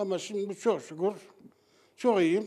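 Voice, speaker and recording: A man talks with ordinary pitch variation and keeps to a moderate pace. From Central Anatolia, Turkey (Kayseri Yeşilhisar). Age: 60s. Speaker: former smoker. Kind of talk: street interview.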